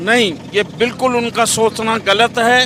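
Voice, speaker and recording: A man's raised, projected voice, extremely high in pitch, comes through noticeable background noise. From Haryana, India. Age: 60s. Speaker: tourist interviewee. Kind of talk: street interview.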